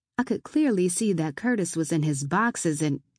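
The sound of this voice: A woman's fairly low-pitched voice with a slightly mellow tone and slightly husky edge, lively intonation and a moderate pace, on a very clean recording with a silent background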